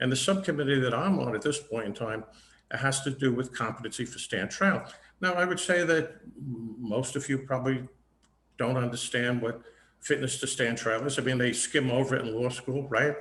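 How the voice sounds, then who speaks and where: Medium pitch and ordinary pitch variation in a male voice. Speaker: judge running for court. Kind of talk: candidate forum speech. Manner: fast; halting, many fillers and repeats.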